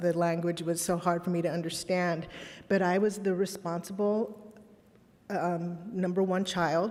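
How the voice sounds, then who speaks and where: Audible room echo surrounds a woman speaking at a moderate pace. Her medium pitch stays at fairly even intonation. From Los Angeles, raised from age five. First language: Spanish. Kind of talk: keynote speech. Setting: conference stage with audience. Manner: occasional filler words and restarts.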